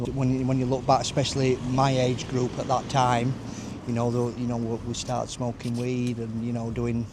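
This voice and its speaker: A man's medium-pitched voice with a Yorkshire accent, monotone, flat intonation, a fairly quick pace, and noticeable background noise. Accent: Yorkshire (Barnsley). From northern England, Barnsley, Yorkshire. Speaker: recovery mentor and youth support worker. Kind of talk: casual interview, personal testimony. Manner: loud.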